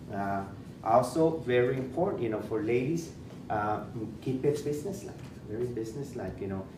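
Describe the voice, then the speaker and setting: Amid audible room echo, a man speaks at a moderate pace with medium pitch and ordinary pitch variation. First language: Spanish. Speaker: school principal. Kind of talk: presentation. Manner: halting, many fillers and repetitions.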